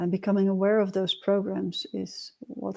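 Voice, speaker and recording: A woman is speaking. Her voice is soft-spoken. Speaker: meditation and personal growth teacher. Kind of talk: livestream teaching talk. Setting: livestream. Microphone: quiet built-in mic, new mic not yet arrived.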